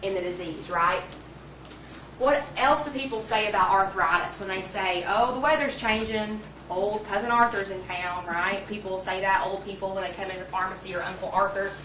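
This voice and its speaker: Over noticeable background noise and audible room echo, a woman speaks fairly quickly at a medium pitch with ordinary pitch variation. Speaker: pharmacy lecturer. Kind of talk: lecture. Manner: fast.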